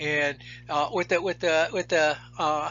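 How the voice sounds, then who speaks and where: The man's voice is pitched fairly high. His intonation stays fairly even. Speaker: biology instructor. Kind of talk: lecture. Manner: fast; halting, repeats words.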